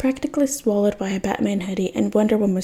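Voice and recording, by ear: Reading aloud in a natural voice, the pitch varying in an ordinary way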